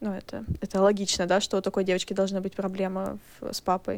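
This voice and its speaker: Speaking at a fairly quick pace, a woman has an unremarkable speaking voice at medium pitch. The recording is very clean, with a silent background. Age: 20s. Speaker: podcast guest, recent graduate. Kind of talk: casual chat.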